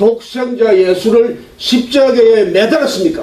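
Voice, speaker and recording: Speech comes at a very slow pace amid noticeable background noise and audible room echo. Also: man. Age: 60s. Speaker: pastor. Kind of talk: sermon.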